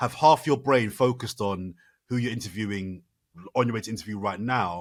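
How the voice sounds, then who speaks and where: The recording is very clean, with a silent background. A man with a British accent speaks at a moderate pace. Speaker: Channel 4 broadcaster and sports presenter. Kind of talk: podcast interview answer. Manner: animated, fluent, conversational.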